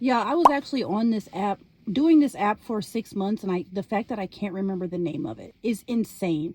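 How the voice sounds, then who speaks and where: The voice is somewhat breathy and animated, moving at a moderate pace. Its pitch swings very widely. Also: woman. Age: 40s. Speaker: lifestyle vlogger. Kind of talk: casual vlog monologue.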